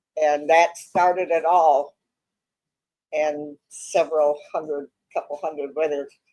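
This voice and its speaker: A woman's very deep, low voice with a dark, mellow tone, monotone and flat, at a fairly slow pace with long, frequent pauses. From Wisconsin. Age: 80s+. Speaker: bartender and notary. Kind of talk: casual chat.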